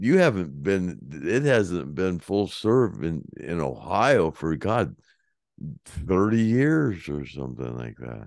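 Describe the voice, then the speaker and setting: Against a quiet background, a man with a very deep, low pitch talks at a very slow pace, his pitch swinging very widely and his loudness rising and falling in big swings. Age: 70s. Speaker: former rock roadie and podcast host. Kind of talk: casual chat.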